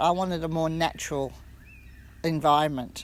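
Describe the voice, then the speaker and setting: Speaking with an Australian accent, a woman keeps a moderate pace at a fairly low pitch. The recording is very clean, with a silent background. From Western Australia. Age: 60s. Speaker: retreat guest. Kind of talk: testimony. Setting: on camera. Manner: casual, halting with self-corrections.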